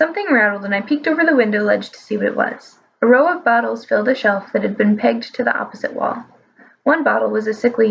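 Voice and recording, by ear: The clip captures reading aloud in a natural voice, its intonation lively.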